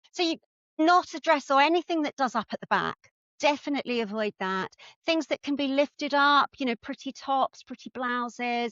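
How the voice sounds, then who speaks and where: With an English accent, a woman speaks at a moderate pace. Her pitch is high and its variation ordinary. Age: 60s. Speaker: personal stylist. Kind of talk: casual chat.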